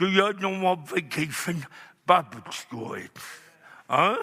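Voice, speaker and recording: His voice is high-pitched. This man is speaking in a raised, projected voice. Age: 60s. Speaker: evangelist. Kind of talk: sermon. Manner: halting.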